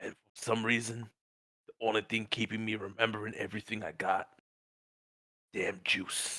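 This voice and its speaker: In a raspy put-on character voice, a man speaks at a moderate pace and medium pitch with monotone, flat intonation and long, frequent pauses. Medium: actual play. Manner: rough, crude.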